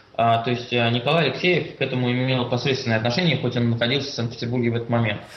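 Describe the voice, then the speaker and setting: A man talks very fast at medium pitch with hardly any pauses, fairly even intonation and very even loudness, over noticeable background noise and audible room echo. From Russia, Saint Petersburg. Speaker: LGBT rights activist, student. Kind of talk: interview.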